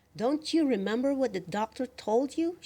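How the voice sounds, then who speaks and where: In a put-on character voice, a female-sounding voice speaks at a high pitch and a moderate pace. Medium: read story.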